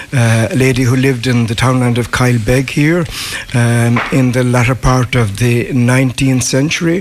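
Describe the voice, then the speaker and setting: Over noticeable background noise, the voice holds very even loudness and fairly even intonation at a moderate pace. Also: man, medium pitch for a man. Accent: west of Ireland. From west of Ireland. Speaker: local historian. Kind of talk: casual interview. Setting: live outside broadcast in village.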